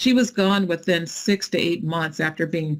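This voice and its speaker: Here is a woman with a normal speaking voice, talking at a moderate pace with ordinary pitch variation. The recording is very clean, the background silent. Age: 60s. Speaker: nonprofit founder. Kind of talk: fireside chat interview.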